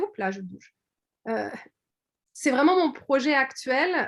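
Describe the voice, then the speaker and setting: The pace is fairly slow. The voice belongs to a woman. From France, Orléans area. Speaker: quilting artist and shop owner. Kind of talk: video call presentation. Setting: video call. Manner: hesitant, many fillers.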